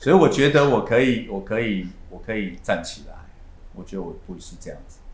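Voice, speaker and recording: Loudness swings widely as a man talks at a fairly quick pace. Room echo is audible. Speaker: real estate agency manager. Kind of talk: interview.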